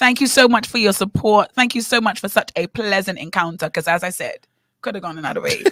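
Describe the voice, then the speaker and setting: Speaking very fast with a British accent, a woman has a bright, sharp, animated tone at medium pitch with ordinary pitch variation, in a dry, close sound with no echo. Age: young. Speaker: radio co-host and teacher. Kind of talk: casual chat.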